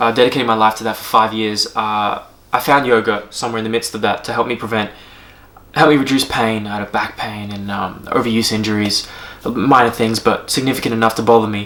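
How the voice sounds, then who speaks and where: A man with an Australian accent talks at a fairly quick pace in a monotone, flat intonation. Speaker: strength coach and yoga teacher. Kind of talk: casual vlog monologue. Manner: halting, many fillers.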